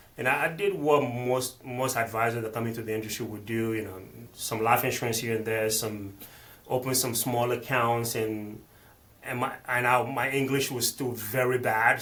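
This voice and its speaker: Over noticeable background noise, a man speaks at a moderate pace in a medium pitch. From Benin, West Africa. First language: not English; multilingual. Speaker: financial planner. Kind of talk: interview conversation. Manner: halting, frequent repetitions and fillers.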